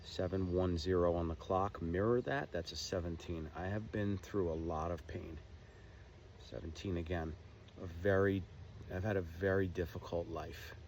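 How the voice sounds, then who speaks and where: The speaker is a man with a very deep, low pitch. His intonation stays fairly even. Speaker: spiritual vlogger. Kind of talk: casual monologue. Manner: slow.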